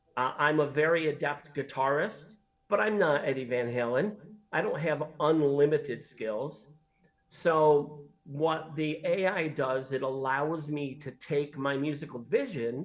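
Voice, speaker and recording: A man with an ordinary speaking voice, fairly high in pitch with ordinary variation, at a fairly slow pace. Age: 60s. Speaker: singer-songwriter. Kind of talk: interview. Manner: conversational.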